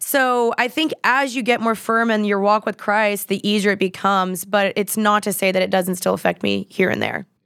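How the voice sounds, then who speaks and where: In a very clean recording with a silent background and a dry, close sound with no echo, a woman with an American accent and an ordinary speaking voice speaks at a moderate pace and medium pitch, with fairly even intonation and very even loudness. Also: hardly any pauses. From Texas, Dallas. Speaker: influencer and podcaster. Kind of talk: casual chat.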